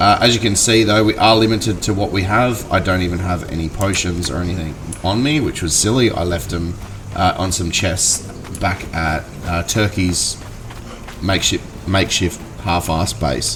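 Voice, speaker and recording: A man with an Australian accent speaks at a moderate pace in a very deep, low voice with lively intonation, over noticeable background noise. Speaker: gaming youtuber. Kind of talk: gameplay commentary. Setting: at home. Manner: halting, many fillers.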